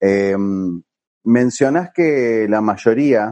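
A man with a Rioplatense accent at a very slow pace. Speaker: podcast host. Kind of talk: casual interview. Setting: remote recording from home.

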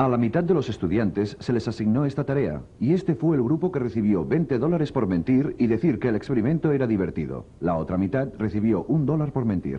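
A man at medium pitch talks at a fairly quick pace with vocal fry, very even loudness and very wide pitch swings. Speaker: documentary narrator. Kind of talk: scripted documentary narration. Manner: formal, measured.

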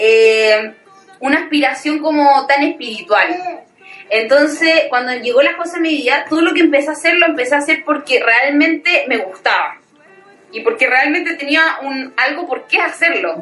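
Music plays behind a woman with a Chilean accent who speaks at a high pitch and a moderate pace with ordinary pitch variation. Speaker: social media personality. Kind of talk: casual chat.

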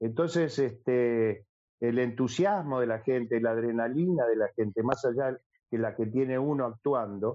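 At a fairly slow pace, a man talks in a normal speaking voice at medium pitch, with ordinary pitch variation and very even loudness. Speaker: singer and actor. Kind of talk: casual chat.

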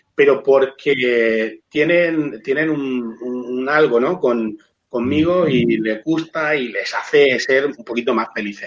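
The speaker is a man with an ordinary speaking voice. He talks at medium pitch and shows ordinary pitch variation. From Spain, Murcia. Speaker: hospitality trainer and sommelier. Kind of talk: video call interview. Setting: remote video call from home.

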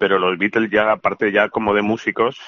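A man talks in a flat, monotone voice pitched fairly low. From Valencia, Spain. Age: 40s. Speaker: musician. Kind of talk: interview.

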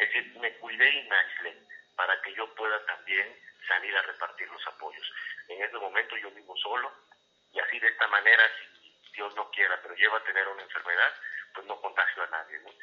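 A man speaks at a moderate pace. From Mexico, Campeche. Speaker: politician. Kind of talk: interview. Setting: at home, remote call.

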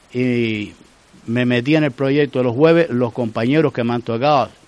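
This man talks at a fairly quick pace with fairly even intonation, in an ordinary speaking voice. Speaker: retired teacher. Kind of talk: casual interview.

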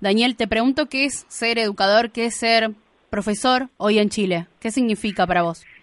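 In a dry, close recording with no echo and a quiet background, a woman with a fairly high pitch speaks in a Rioplatense accent. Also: ordinary pitch variation, moderate pace. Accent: Argentine Rioplatense Spanish. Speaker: radio host. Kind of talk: radio interview. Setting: radio studio.

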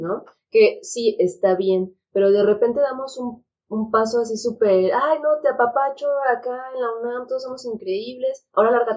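A high-pitched woman at a moderate pace. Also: ordinary pitch variation. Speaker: psychiatrist. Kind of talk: casual chat.

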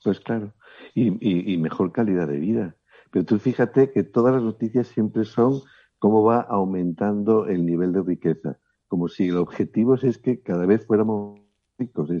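In a plain, everyday voice, a man speaks at a fairly low pitch and a moderate pace, with ordinary pitch variation. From Spain, León. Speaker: body therapist and author. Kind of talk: interview.

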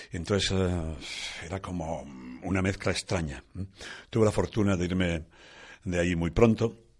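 Over a quiet background, a man speaks with a very deep, low pitch. His intonation is fairly even and his pace fairly quick. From Asturias, northern Spain. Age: 60s. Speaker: rock musician. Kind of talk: testimony.

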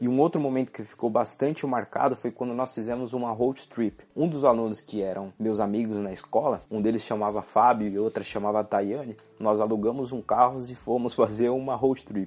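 A man with a normal speaking voice talks at a moderate pace and medium pitch, using fairly even intonation and hardly any pauses. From Brazil. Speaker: podcast host. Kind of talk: solo monologue podcast.

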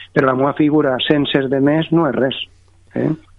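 A man's fairly high voice at a moderate pace. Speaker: mayor. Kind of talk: phone interview.

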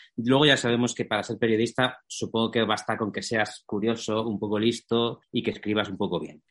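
A man's medium-pitched, monotone voice at a fairly quick pace, flat in intonation. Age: 30s. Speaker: writer and journalist. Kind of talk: casual interview chat.

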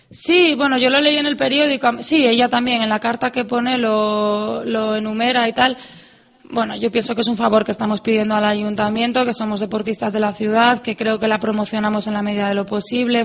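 Fairly quick and fairly high in pitch, a woman speaks in a normal speaking voice. Her intonation is fairly even. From Asturias, Spain (Avilés). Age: 20s. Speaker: athlete. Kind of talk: radio interview.

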